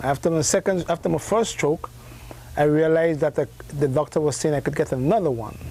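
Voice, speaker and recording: With a Grenadian accent, a man speaks at a fairly quick pace in a fairly high voice. His pitch varies in an ordinary way and his loudness stays very even. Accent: Grenadian Caribbean English. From Grenada. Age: 60s. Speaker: herbalist. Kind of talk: interview. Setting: live broadcast from a health food store.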